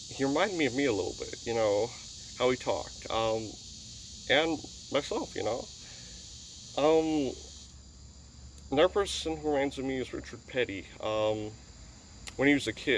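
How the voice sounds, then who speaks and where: Using an Upper Midwest accent, a man talks at a medium pitch and a moderate pace with lively intonation and long, frequent pauses. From US upper Midwest. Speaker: YouTuber, racing fan. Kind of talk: casual vlog monologue. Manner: halting.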